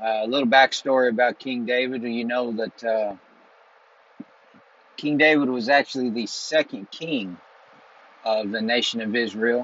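A man speaks at a fairly slow pace with long, frequent pauses, his medium-pitched voice showing ordinary pitch variation and a fairly bright tone.

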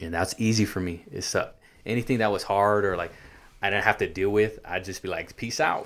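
A man with an American accent talks at a fairly quick pace in an unremarkable speaking voice. His pitch is fairly low, with ordinary variation. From California, Santa Maria. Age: 30s. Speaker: ex-gang member giving faith testimony. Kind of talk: testimony.

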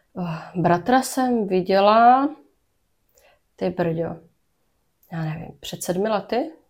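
At a very slow pace, a woman speaks at a medium pitch with lively intonation and long, frequent pauses. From Brno, Czech Republic. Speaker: podcast host sharing her own story. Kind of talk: personal interview, testimony. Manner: halting, many fillers.

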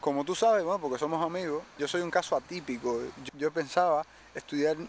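With a normal speaking voice, a man talks at a fairly quick pace in a fairly high pitch, with ordinary pitch variation. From Cuba, Cárdenas. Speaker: singer-songwriter. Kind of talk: interview.

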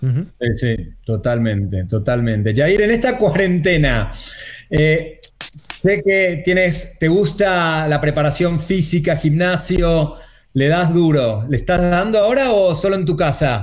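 Speaking at a very slow pace, a man with a high-pitched voice uses lively intonation and very even loudness, with audible room echo around him. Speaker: online show co-host. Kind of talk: casual chat.

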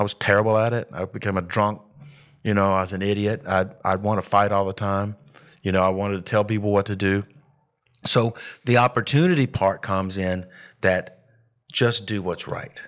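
Recorded very cleanly over a silent background, a man with a fairly low pitch speaks at a moderate pace, his intonation fairly even and his pauses long and frequent. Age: 50s. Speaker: woodworker and insurance seller. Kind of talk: casual interview chat.

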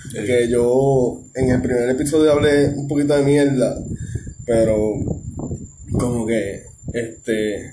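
A man with a Puerto Rican accent at medium pitch, very slow with long, frequent pauses, fairly even intonation, audible room echo and noticeable background noise. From Puerto Rico, Ponce. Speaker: podcast host. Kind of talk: casual chat.

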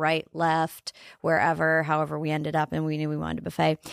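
A woman with an American accent talks at a very fast pace on a very clean recording with a silent background and a dry, close sound with no echo. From northeast Nebraska, farm. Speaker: entrepreneur and former TV broadcaster. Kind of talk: casual interview.

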